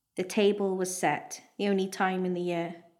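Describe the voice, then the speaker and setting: In a Welsh accent, a woman talks with a warm tone at medium pitch. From Wales. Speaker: national poet, performing her own piece. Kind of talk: literary audiobook-style reading of her own prose piece, live at a festival. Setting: live festival event with audience. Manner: warm, wry, measured storytelling pace, nostalgic.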